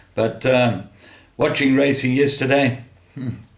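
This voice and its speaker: A man's voice with audible room echo. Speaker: horse racing tipster. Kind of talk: racing tips monologue.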